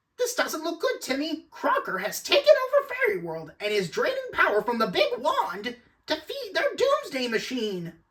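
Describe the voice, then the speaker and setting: A put-on character voice at an extremely high pitch runs on with hardly any pauses. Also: moderate pace. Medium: fan dub. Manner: chattering, flustered.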